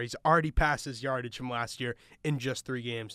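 A man with an American accent, his tone bright and sharp and his intonation flat and monotone, on a very clean recording with a silent background. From Long Island, New York. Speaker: radio host and play-by-play podcaster. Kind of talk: sports recap podcast chat.

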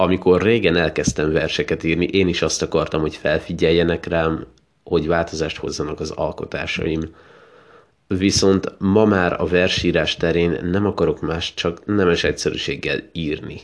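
A man with a warm tone and a very deep, low pitch talks at a moderate pace in a monotone, flat intonation. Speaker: podcast host and poetry reader. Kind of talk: poem reading, then casual podcast address. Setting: podcast recording. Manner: warm, sincere, plain-spoken in the outro.

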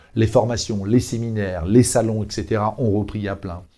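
A man speaks at a fairly low pitch in a dark, mellow tone. The recording is very clean, with a silent background. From Brittany, France (Brest). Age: 50s. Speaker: hotel chain franchise development director. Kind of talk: business podcast interview.

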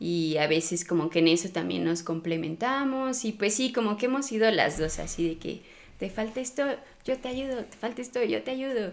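This woman has a plain, everyday voice, fairly high in pitch, with lively intonation at a moderate pace. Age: 20s. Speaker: pole dance instructor and studio owner. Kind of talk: casual interview.

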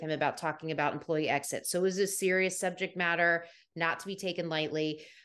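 Against a quiet background, a woman with an American accent talks at a very fast pace in a fairly low pitch, her intonation monotone and flat. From US, Washington DC area. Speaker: soft skills trainer and former HR professional. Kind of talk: interview conversation.

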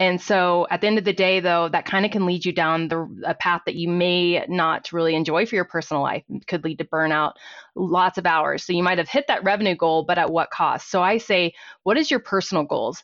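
A woman talks at a fairly quick pace in a plain, everyday voice. Her pitch is fairly low, with ordinary variation. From Texas, Fort Worth. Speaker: accountant and small business owner. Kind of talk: interview.

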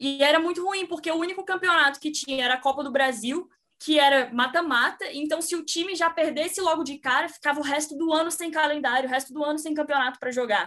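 Speaking very fast with hardly any pauses, a woman projects a raised, high voice in a bright, sharp tone with ordinary pitch variation. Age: 20s. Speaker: sports journalist. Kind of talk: casual chat.

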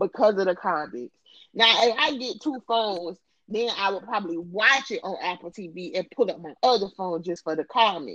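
A woman with an American accent talks at a moderate pace and medium pitch, with lively intonation and an animated tone. Her loudness swings widely, in a dry, close sound with no echo. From US South. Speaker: podcast host. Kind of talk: casual chat.

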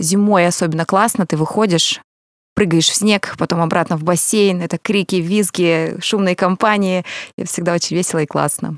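Recorded very cleanly against a silent background, a woman speaks in an unremarkable speaking voice at a fairly low pitch, with fairly even intonation, a moderate pace and a dry, close sound with no echo. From Russian Far East, Kamchatka. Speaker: event organizer and singer. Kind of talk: casual chat.

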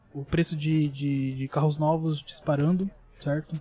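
A man's somewhat breathy voice, fairly high in pitch with a dark, mellow tone, at a moderate pace. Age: 20s. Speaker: computer engineering student explaining tech. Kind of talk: casual chat.

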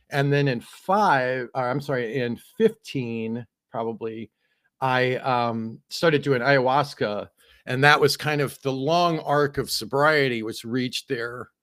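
An ordinary speaking voice, in a very clean recording with a silent background, talks at a fairly slow pace with ordinary pitch variation. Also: man, medium pitch for a man. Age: 50s. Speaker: author and multimedia artist. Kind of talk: casual interview chat.

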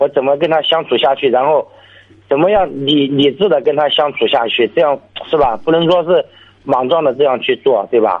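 With very even loudness and ordinary pitch variation, a man with a fairly high voice talks at a moderate pace. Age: 20s. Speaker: caller, renovation worker. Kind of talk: radio call-in conversation. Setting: phone call. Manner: halting.

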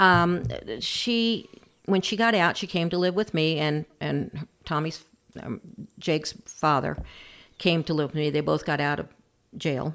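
At a fairly slow pace with long, frequent pauses, the speaker is heard on a very clean recording with a silent background. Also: woman, very deep, low pitch for a woman, ordinary pitch variation. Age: 60s. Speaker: grandparent raising grandchildren. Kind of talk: interview, personal story.

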